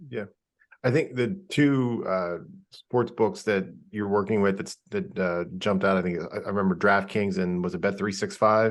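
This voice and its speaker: This is an unremarkable speaking voice, a man's at a fairly low pitch. He keeps a moderate pace with ordinary pitch variation. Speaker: sports betting journalist. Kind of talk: podcast interview question.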